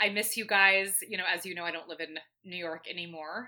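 Someone speaks at a very fast pace with an American accent. The tone is bright and sharp. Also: woman. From Atlanta, Georgia. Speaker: brewery events coordinator. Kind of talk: casual chat.

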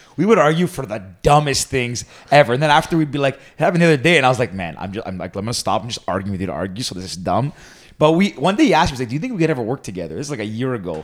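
A man with a Canadian accent talks at a very fast pace and medium pitch, with vocal fry and very wide pitch swings. The recording is very clean, the background silent. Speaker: podcast co-host. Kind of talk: casual chat.

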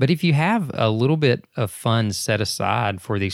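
A plain, everyday voice with lively intonation. The recording is very clean with a silent background, and the sound is dry and close with no echo. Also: man. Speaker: podcast host. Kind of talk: casual chat. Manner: chatty, joking.

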